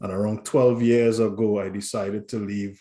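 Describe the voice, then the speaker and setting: In a Trinidadian accent, the speaker's dark, mellow tone moves at a moderate pace. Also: man. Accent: Trinidadian accent, kept. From Trinidad and Tobago. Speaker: corporate safety director. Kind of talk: interview.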